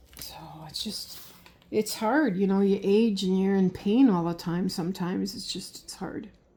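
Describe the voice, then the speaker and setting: A woman talks at a moderate pace with a medium pitch and ordinary pitch variation. Her loudness shows big swings. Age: 60s. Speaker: cookie decorating YouTuber. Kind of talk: casual chat while decorating. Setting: home kitchen. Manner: halting.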